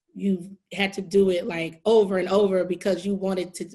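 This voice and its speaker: Against a quiet background, a woman speaks at a medium pitch in a somewhat breathy voice. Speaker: podcast host. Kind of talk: interview questions.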